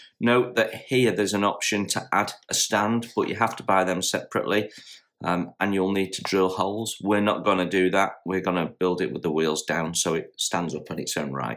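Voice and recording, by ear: Putting on a croaky character voice at a fairly low pitch, a man speaks at a moderate pace in a very clean recording with a silent background.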